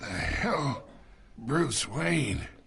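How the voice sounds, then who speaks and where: A man puts on a raspy character voice, fairly high in pitch. It makes very wide pitch swings. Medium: game stream. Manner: sly, taunting.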